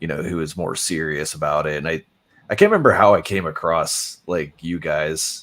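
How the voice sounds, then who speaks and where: A man with an American accent talks at a moderate pace on a very clean recording with a silent background. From Pittsburgh, Pennsylvania. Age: 30s. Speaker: videographer and paranormal investigator. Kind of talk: interview. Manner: halting, many fillers.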